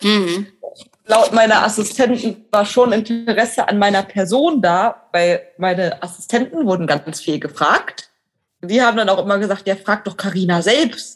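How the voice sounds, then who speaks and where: This woman uses an ordinary speaking voice at medium pitch. She talks at a fairly slow pace with ordinary pitch variation. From western Germany, Neuss (North Rhine-Westphalia). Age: 20s. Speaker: online editor graduate, blind. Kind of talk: interview.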